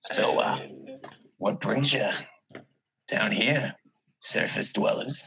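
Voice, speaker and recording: Putting on a raspy character voice, a man speaks at a very slow pace with long, frequent pauses. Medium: actual play. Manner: smug, condescending.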